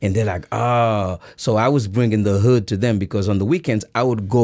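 The recording is very clean, with a silent background. The speaker talks at a moderate pace in a Haitian accent with ordinary pitch variation. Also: man. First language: Haitian Creole. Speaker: breakdancer and fitness trainer. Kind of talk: casual chat. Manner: hesitant with many fillers.

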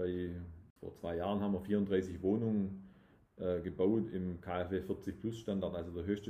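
A man talks at a fairly slow pace with a very deep, low pitch. His voice is somewhat breathy and his intonation monotone and flat. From southwest Germany, Tübingen area (Swabia). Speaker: real estate developer. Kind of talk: casual interview. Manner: hesitant, many restarts.

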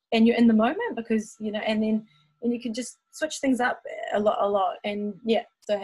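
In a New Zealand accent, a woman speaks at a fairly quick pace. Her pitch is fairly high and her intonation fairly even. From New Zealand (Taupo). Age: 30s. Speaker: dancer and singer. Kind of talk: casual chat.

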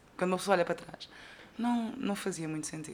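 With a European Portuguese accent, a woman speaks with lively intonation over noticeable background noise. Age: 20s. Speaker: podcaster. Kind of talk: casual monologue. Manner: animated.

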